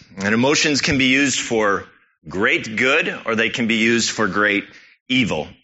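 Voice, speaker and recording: Here is a man with an ordinary speaking voice at a medium pitch. His pitch variation is ordinary, his pace moderate, and his loudness very even. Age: 30s. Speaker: church elder preaching. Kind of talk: sermon.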